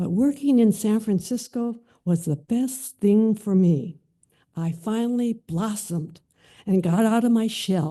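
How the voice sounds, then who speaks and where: A woman with an American accent and a dark, mellow, somewhat breathy voice, fairly high in pitch with ordinary pitch variation, at a fairly slow pace against a quiet background. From California, San Mateo area. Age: 80s. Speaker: internment camp survivor sharing memoir. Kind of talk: reading aloud a written memoir.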